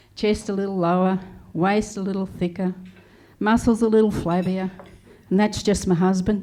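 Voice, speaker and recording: With an Australian accent, a woman speaks at a medium pitch and a moderate pace, her tone dark and mellow and her intonation monotone and flat, broken by long, frequent pauses. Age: 70s. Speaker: comedian. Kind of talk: stand-up. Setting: stage with audience.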